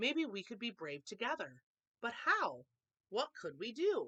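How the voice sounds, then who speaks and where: A put-on character voice, female-sounding, with fairly high pitch at a moderate pace. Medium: read story.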